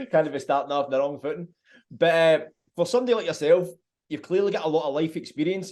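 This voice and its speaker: A man with a Glaswegian accent, fairly high-pitched, talking at a very fast pace with ordinary pitch variation. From Scotland, Glasgow. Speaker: podcast host. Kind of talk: interview.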